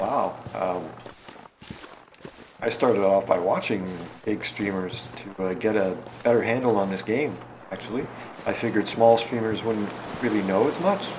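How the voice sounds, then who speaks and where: A man speaks at a fairly low pitch with ordinary pitch variation and long, frequent pauses. Audible room echo and noticeable background noise are present. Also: moderate pace. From Canada. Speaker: video game streamer. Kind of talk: casual gameplay livestream chat. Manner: halting.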